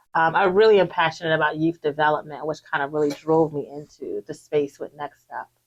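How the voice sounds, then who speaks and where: A woman with a New Jersey accent, a very deep, low pitch, fairly even intonation, and a fairly quick pace with hardly any pauses. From Newark, New Jersey. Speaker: youth development leader. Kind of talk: interview.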